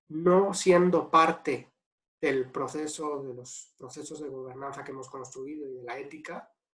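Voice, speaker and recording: Delivered at a fairly slow pace with a slight Spanish accent, the speech has fairly even intonation but big swings in loudness. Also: man, fairly high pitch for a man. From Spain. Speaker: ethics and governance consultant. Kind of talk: webinar Q&A answer.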